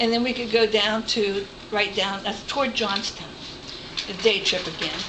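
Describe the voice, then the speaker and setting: Amid audible room echo and noticeable background noise, a woman with an American accent speaks at a moderate pace, her fairly high pitch delivered in a monotone, flat intonation. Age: 60s. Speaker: retired volunteer trip organizer. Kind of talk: informal presentation to a group.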